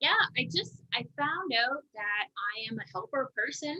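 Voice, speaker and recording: The sound is dry and close with no echo as a woman speaks in a bright, sharp tone with ordinary pitch variation. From Canada. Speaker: marketing professional and fitness influencer. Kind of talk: casual podcast interview. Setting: live video stream.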